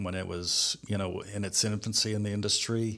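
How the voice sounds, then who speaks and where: A man speaks fairly slowly in a plain, everyday voice, fairly low in pitch with fairly even intonation. The recording is very clean, with a silent background. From Cleveland, Ohio. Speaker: construction industry consultant. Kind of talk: interview.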